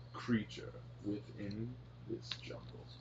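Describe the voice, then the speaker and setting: A booming, put-on character voice carries over clear background noise. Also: man. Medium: actual play. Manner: grandiose, theatrical.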